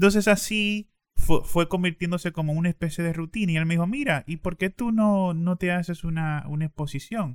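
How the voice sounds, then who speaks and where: A man with a high pitch speaks with hardly any pauses. The recording is very clean, with a silent background and a dry, close sound with no echo. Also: ordinary pitch variation, fairly quick pace. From Dominican Republic, eastern region. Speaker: poet. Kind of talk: interview.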